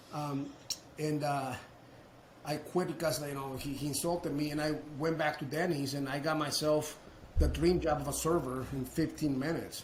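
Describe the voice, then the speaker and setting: Over noticeable background noise and audible room echo, a man with a fairly high pitch speaks at a moderate pace. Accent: Mexican. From Mexico. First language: Spanish. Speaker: roofing business owner, entrepreneur. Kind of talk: casual interview storytelling. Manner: animated, with repetitions and false starts.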